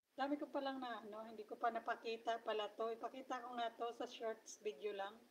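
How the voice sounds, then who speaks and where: Here a woman talks fairly quickly in a plain, everyday voice. Her pitch is fairly high and her intonation fairly even. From Philippines. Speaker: vlogger. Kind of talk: livestream chat. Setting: live stream. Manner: casual, chatty with fillers. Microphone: voice cutting out.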